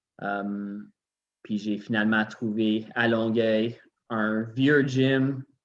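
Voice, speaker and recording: A man speaks with a Quebec accent and fairly even intonation. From Quebec, Montreal. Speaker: gym owner. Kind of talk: casual chat.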